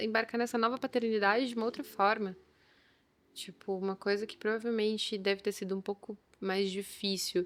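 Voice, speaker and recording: A woman's normal speaking voice, fairly high in pitch, at a moderate pace with fairly even intonation, on a very clean recording with a silent background. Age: young. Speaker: chef and entrepreneur. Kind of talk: casual chat.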